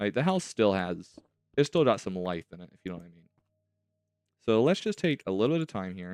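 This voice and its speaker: A man's fairly low, fairly quick voice with very wide pitch swings and big jumps in loudness, long, frequent pauses, a dry, close sound with no echo, and music in the background. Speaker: gaming youtuber. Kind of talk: gameplay commentary.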